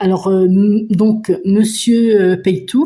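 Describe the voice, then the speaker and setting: Speaking at a very slow pace, a woman has a medium pitch and a dark, mellow tone. Her voice is somewhat breathy. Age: 50s. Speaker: budgeting vlogger. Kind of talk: casual vlog chat. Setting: at home. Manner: hesitant, many fillers.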